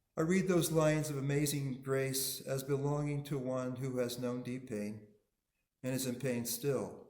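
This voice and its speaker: Through audible room echo, a man with medium pitch speaks at a fairly slow pace in fairly even intonation. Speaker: minister. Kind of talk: sermon.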